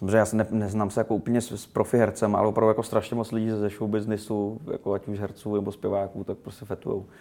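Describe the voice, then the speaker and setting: A man with a dark, mellow tone speaks at a very fast pace with hardly any pauses, in monotone, flat intonation. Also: fairly low pitch for a man. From Czechia, Rumburk. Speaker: rapper and film director. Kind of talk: interview. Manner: halting, many fillers.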